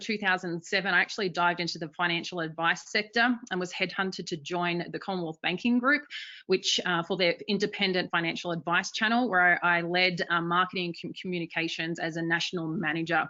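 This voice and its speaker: A woman talks at a fairly quick pace with hardly any pauses. Her fairly low pitch carries fairly even intonation. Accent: Australian. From Australia. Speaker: marketing executive. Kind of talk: webinar presentation.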